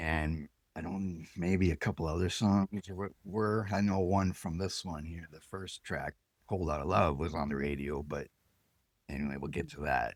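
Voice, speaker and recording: A man is speaking. He keeps a moderate pace. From Canada. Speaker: podcast host. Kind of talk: casual chat. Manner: halting.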